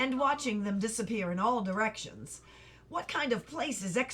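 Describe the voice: The speaker uses plain reading aloud with ordinary pitch variation.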